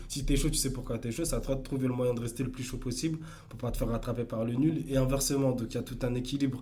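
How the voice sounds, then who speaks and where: Very fast and monotone, a man speaks at a medium pitch in a dark, mellow tone with vocal fry, with audible room echo around him. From Paris suburbs, France. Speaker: electro dancer and entrepreneur. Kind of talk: casual interview. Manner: halting, many repetitions.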